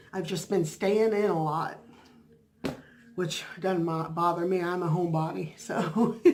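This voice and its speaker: Fairly slow and broken by long, frequent pauses, a woman's fairly low voice keeps fairly even intonation amid audible room echo. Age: 50s. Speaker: vlogger and bible study leader. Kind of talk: casual vlog chat. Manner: halting, many fillers.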